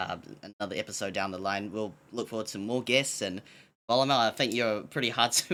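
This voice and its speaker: The tone is bright and sharp, in a New Zealand accent. Intonation stays fairly even. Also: man, very clean recording, silent background. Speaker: podcast co-host. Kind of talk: casual podcast chat. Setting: live-streamed podcast on Twitch.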